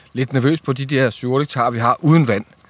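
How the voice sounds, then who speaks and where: A man's ordinary speaking voice at medium pitch and a moderate pace. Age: 50s. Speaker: fruit grower. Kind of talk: casual interview.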